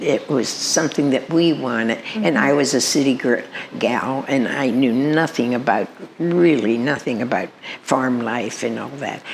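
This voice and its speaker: A woman with a very deep, low pitch speaks at a moderate pace with ordinary pitch variation, with noticeable background noise behind her. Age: 90s. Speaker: retired farm wife and mother of eight. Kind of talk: interview answer. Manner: hesitant, halting.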